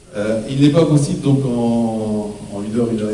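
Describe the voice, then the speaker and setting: Noticeable background noise and audible room echo surround a man's voice. He speaks at medium pitch with ordinary pitch variation. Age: 60s. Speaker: local election candidate. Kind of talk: campaign speech at public meeting. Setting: public hall with audience. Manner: halting, many hesitations.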